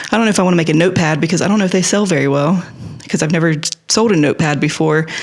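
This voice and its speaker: Against noticeable background noise, someone talks at a very fast pace. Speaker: artist vlogger. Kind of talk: casual chat. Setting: home art studio.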